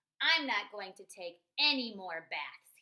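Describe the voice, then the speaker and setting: A woman puts on a character voice. She speaks at a medium pitch and a fairly slow pace. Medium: read story. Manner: stubborn, grumbly.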